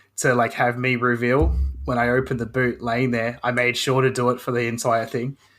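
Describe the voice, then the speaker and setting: A man with an Australian accent speaks at a fairly quick pace and medium pitch, monotone and flat with very even loudness, on a very clean recording with a silent background. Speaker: hobbyist woodworker and video creator. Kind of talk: casual chat. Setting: podcast interview.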